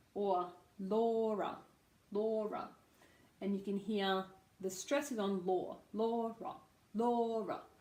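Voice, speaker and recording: Very slow and marked by long, frequent pauses, the speech comes in an Australian accent with ordinary pitch variation and very even loudness. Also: woman, medium pitch for a woman. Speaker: speech pathologist. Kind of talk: pronunciation lesson to camera.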